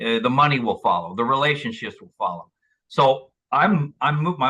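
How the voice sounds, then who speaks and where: With vocal fry and very wide pitch swings, a man speaks at a fairly quick pace in a fairly high pitch. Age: 60s. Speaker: author and motivational speaker. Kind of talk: interview. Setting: podcast.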